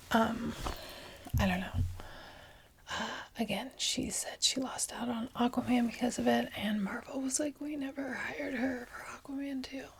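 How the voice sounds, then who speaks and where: Someone soft-spoken is whispering at a moderate pace over noticeable background noise. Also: woman. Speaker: law graduate. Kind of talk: ASMR ramble. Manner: alternating whispers and soft-spoken.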